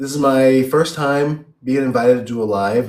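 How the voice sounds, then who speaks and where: A man with a Chicago accent speaks at a medium pitch. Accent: Chicago American English. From US Midwest (Chicago, Illinois). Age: 30s. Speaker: English teacher abroad. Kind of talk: interview on a live stream.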